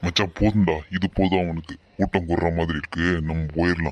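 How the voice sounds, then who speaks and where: A man performs a cartoonish character voice with a very deep, low pitch and flat, monotone intonation. He speaks at a moderate pace against a quiet background. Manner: rough, aggressive.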